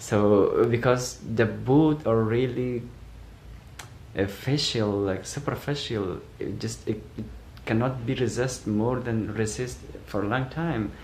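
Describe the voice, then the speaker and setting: A man speaks at medium pitch with ordinary pitch variation. His pace is very slow, and room echo is audible. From Afghanistan. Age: 20s. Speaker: asylum seeker. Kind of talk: testimony. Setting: self-recorded video. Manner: halting.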